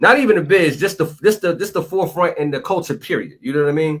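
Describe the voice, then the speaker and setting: A man with a Philadelphia accent, lively intonation and a very fast pace. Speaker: podcast host. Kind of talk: casual interview chat.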